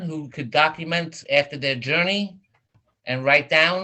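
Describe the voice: At a fairly slow pace, a man with a fairly high pitch and ordinary pitch variation speaks in a bright, sharp tone.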